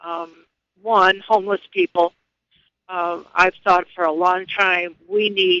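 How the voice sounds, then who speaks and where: In a dry, close sound with no echo, a man projects a raised, high-pitched voice with a bright, sharp tone, monotone and flat, at a very slow pace. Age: 70s. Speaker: radio caller. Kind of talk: call-in radio talk.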